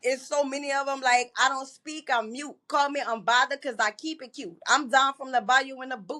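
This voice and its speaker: A woman's raised, projected voice with a New Orleans accent, high in pitch and bright and sharp in tone, with fairly even intonation, big swings in loudness and hardly any pauses. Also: moderate pace. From New Orleans, Louisiana. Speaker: model and poet. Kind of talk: interview.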